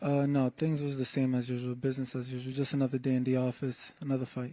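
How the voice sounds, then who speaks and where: Soft-spoken and dark, mellow in tone, a man talks at a very fast pace. His medium-pitched intonation stays monotone and flat. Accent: American. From New England, US. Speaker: professional boxer. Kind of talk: press conference interview.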